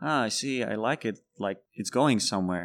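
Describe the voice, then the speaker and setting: The speaker talks with a Czech accent on a very clean recording with a silent background. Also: man. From Czech Republic. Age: 30s. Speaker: bartender. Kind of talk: casual chat.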